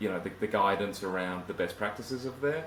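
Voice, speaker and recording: Audible room echo surrounds a man talking at a fairly quick pace, his pitch fairly low with ordinary variation. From southern England. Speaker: IT automation consultant. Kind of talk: interview.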